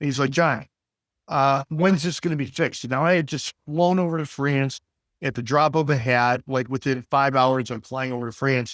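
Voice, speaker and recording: A man with an American accent and a plain, everyday voice speaks at a moderate pace with fairly even intonation in a very clean recording with a silent background. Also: fairly high pitch for a man. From US Midwest, Detroit. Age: 60s. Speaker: business executive. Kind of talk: interview conversation. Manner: many fillers and repetitions.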